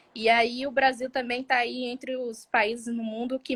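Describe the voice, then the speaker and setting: With a bright, sharp tone, a woman speaks at a fairly high pitch and a fairly slow pace. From southern Bahia, Brazil. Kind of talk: interview conversation. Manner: halting, many fillers and repetitions.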